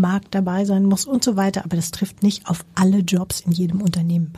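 A woman at medium pitch talks at a moderate pace in a dark, mellow, somewhat breathy tone with monotone, flat intonation. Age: 50s. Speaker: company CEO. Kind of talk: interview.

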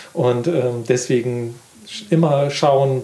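A man speaks at medium pitch with a dark, mellow tone and a somewhat breathy quality. His intonation stays fairly even. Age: 50s. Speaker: gardening magazine editor. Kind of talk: casual interview. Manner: halting.

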